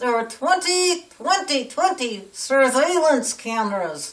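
A woman speaks in a cartoonish character voice. Her pitch is high and her pace fairly slow. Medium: puppet. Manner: ranting, indignant.

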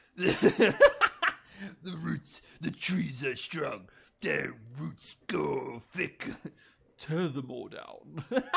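A man puts on a character voice with a fairly high pitch and a menacing tone. He speaks very slowly, with long, frequent pauses. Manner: commanding, menacing.

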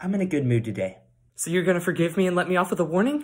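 A man rattles off his words at a very fast pace while the background stays quiet. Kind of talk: acted comedy skit dialogue. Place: home room. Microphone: phone near.

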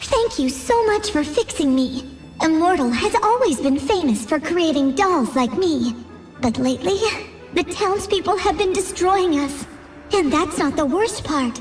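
A high-pitched put-on character voice at a moderate pace, clear music in the background. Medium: machinima. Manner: grateful, pleading, eager.

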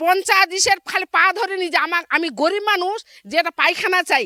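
A woman uses a raised, projected voice with an extremely high pitch and a bright, sharp tone. Her pitch variation is ordinary, and the sound is dry and close with no echo. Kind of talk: street interview.

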